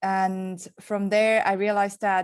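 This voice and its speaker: In a very clean recording with a silent background, a woman talks with a strong Swiss accent. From Switzerland. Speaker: entrepreneur. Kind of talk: panel interview.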